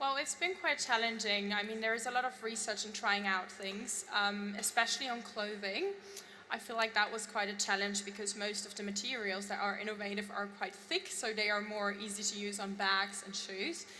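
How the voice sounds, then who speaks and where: A woman speaks at a moderate pace with hardly any pauses and fairly even intonation, over noticeable background noise and audible room echo. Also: medium pitch for a woman. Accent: German. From Germany. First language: German. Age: young. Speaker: fashion designer. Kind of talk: on-stage interview.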